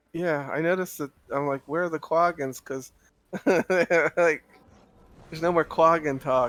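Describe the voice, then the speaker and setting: Fairly even in intonation and fairly high in pitch, a man speaks at a fairly slow pace with long, frequent pauses, in a dry, close sound with no echo. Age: 40s. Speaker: game guild commander. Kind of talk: casual chat. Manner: halting.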